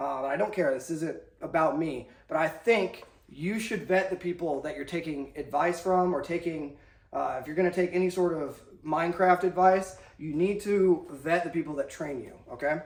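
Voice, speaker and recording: A man's high voice with an American accent and ordinary pitch variation, in audible room echo. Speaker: army instructor and video host. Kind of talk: lecture. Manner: fast; casual, animated.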